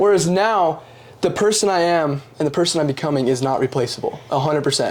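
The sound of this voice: A fairly high male voice at a fairly quick pace, with ordinary pitch variation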